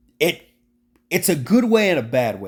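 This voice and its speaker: Very clean recording of a man, silent background behind him. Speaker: sports YouTuber. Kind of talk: casual monologue. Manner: hesitant, with fillers and restarts.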